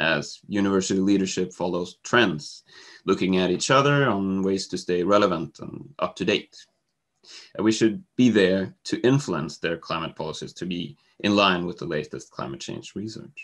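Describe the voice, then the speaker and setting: This man has a fairly low pitch, ordinary pitch variation, and a normal speaking voice. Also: quiet background. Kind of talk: presentation. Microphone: video call.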